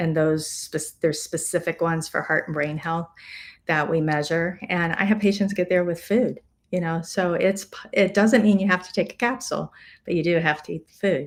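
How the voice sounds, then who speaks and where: A woman's plain, everyday voice, fairly low in pitch, at a moderate pace with ordinary pitch variation, on a very clean recording with a silent background. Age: 60s. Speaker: physician. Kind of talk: live-streamed health talk. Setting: live stream. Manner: conversational.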